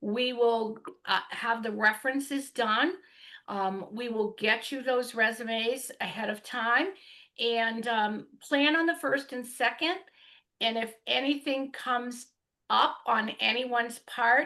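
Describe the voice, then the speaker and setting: Loud and bright with a sharp tone, a woman speaks at a very slow pace in a high pitch with ordinary pitch variation against a quiet background. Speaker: hiring process consultant. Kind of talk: remote meeting update.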